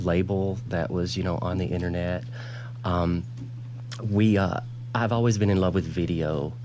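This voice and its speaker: A man with a Southern US accent, a very deep, low pitch and a dark, mellow tone, ordinary pitch variation, a moderate pace, and audible room echo. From US South, Alabama. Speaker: fashion designer. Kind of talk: TV interview.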